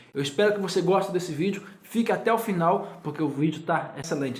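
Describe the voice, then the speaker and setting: The room echo is audible around this man. He speaks very fast, and his pitch varies in an ordinary way. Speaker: YouTuber. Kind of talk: casual chat. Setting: guest's home.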